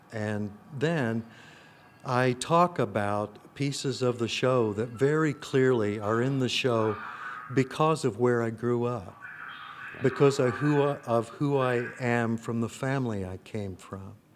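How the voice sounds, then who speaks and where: With an American accent, a man speaks at a fairly slow pace and medium pitch over noticeable background noise. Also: ordinary pitch variation. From US Midwest, rural Illinois. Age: 60s. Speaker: actor and playwright. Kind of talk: interview. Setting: film festival. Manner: reflective, with many fillers.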